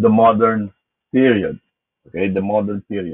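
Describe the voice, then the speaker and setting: Speech comes at a moderate pace over a quiet background. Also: man. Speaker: philosophy lecturer. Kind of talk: lecture. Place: home room. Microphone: webcam.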